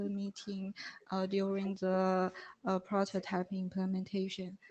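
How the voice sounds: A woman speaks fairly slowly at a medium pitch, with a slightly mellow tone.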